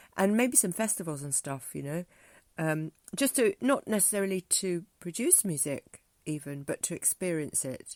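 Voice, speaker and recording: Very wide pitch swings mark this woman's speech in a southern English accent, delivered at a moderate pace. The recording is very clean, dry and close, with a silent background and no echo. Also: fairly low pitch for a woman. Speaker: music teacher and spoken word artist. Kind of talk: casual vlog monologue. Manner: halting, many fillers.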